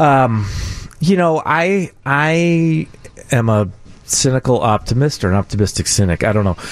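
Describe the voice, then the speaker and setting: Keeping his loudness very even, a man speaks at a moderate pace and medium pitch, with very wide pitch swings. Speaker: political commentator. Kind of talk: casual radio chat.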